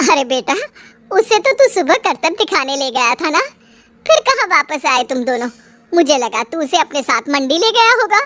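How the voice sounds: A cartoonish character voice, high in pitch, at a moderate pace with very wide pitch swings.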